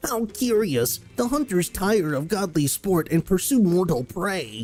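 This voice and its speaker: The speaker uses a put-on character voice at a middle pitch with very wide pitch swings. The pace is fairly slow. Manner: funny, theatrical.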